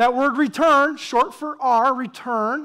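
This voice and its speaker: A woman's high-pitched, animated voice with ordinary pitch variation and a Southern US accent. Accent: southern drawl. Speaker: pastor. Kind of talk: sermon. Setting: church with congregation.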